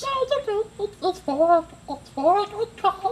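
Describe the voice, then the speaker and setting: A man performs a cartoonish character voice at an extremely high pitch. He takes a fairly slow pace. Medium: puppet. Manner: dramatic, theatrical.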